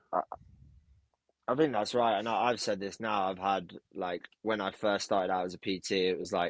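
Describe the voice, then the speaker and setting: Mumbling at a fairly quick pace with long, frequent pauses, a man with a fairly low voice is heard in a dry, close recording with no echo. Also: fairly even intonation. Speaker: personal trainer. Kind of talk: casual interview chat.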